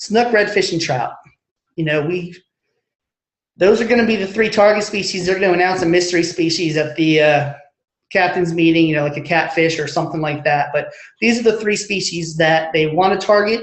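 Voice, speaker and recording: Speaking at a fairly quick pace, a man with a high pitch uses ordinary pitch variation amid audible room echo. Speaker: marine electronics specialist. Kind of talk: webinar presentation. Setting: online webinar. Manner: fast.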